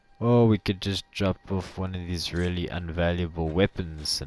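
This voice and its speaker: Recorded with a dry, close sound and no echo, a man with a South African accent speaks at a very deep, low pitch and a moderate pace with fairly even intonation. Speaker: gaming youtuber. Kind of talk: gameplay commentary. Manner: casual, chatty.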